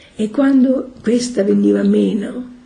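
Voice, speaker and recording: A German accent with audible room echo. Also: woman. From Austria, Vienna. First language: German (speaking Italian). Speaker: religious community member. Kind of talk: testimony.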